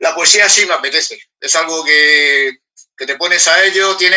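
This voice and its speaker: Fairly even intonation from a man talking at a moderate pace. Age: 60s. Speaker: award-winning poet. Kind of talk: panel discussion at book presentation. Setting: public event streamed online. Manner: halting, many repetitions.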